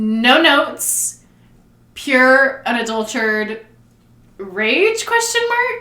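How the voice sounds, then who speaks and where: A woman speaks at a very slow pace, leaving long, frequent pauses. Room echo is audible. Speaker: podcast co-host. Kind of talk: casual chat.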